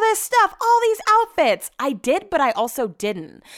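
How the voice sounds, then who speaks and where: With very wide pitch swings, a woman speaks in an animated tone. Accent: American. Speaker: podcast host. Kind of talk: casual diary-style monologue. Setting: home office. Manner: fast talker.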